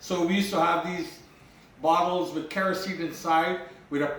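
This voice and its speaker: Over noticeable background noise and audible room echo, a man with a high pitch speaks at a moderate pace in a monotone, flat intonation. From Guyana (Berbice). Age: 60s. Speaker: home cook vlogger. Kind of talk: cooking tutorial with personal stories. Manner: casual, conversational.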